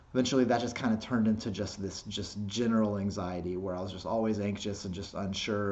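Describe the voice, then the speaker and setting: Flat, monotone delivery at a fairly quick pace, with audible room echo. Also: man. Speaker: skateboarding vlogger. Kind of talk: casual vlog monologue. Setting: self-recorded video. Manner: halting, repeats words.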